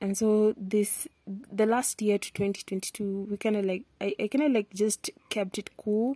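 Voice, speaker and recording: With a Kenyan accent, a woman speaks at a medium pitch and a fairly slow pace, her dark, mellow tone somewhat breathy. Her intonation is fairly even, and the sound is dry and close with no echo. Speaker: podcaster. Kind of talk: casual monologue. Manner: switches between English and Swahili.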